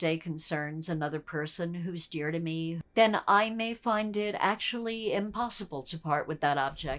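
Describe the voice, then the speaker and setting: Her voice is an unremarkable speaking voice, a woman's at a fairly low pitch with ordinary variation and a moderate pace. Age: 60s. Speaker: documentary subject. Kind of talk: casual chat. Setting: at home.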